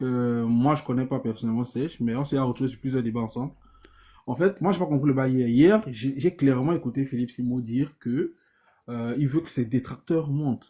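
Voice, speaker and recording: A man with a Cameroonian accent, medium pitch, a dark, mellow tone, ordinary pitch variation and a moderate pace. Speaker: debate participant. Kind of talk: live debate.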